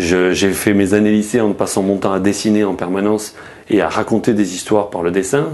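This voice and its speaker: The speaker has a slight Marseille accent. The pace is fairly quick. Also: man. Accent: mild Marseille. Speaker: journalist. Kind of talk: interview. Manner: hesitant, many fillers and restarts.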